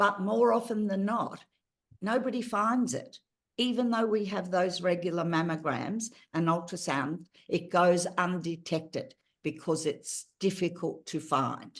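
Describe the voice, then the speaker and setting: A woman in an Australian accent at a fairly slow pace, medium pitch and lively intonation. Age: 70s. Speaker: patient advocate. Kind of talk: interview.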